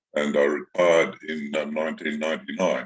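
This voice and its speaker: Moderate pace from a man in an Australian accent. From Australia, Sydney. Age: 70s. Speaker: retired lawyer and author. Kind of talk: interview. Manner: halting, many fillers.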